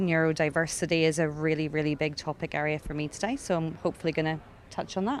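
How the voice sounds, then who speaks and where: With a Northern Irish accent, a woman talks at a fairly quick pace in a very deep, low pitch and fairly even intonation. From Northern Ireland. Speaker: head of talent and recruitment. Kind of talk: panel discussion. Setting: stage with audience.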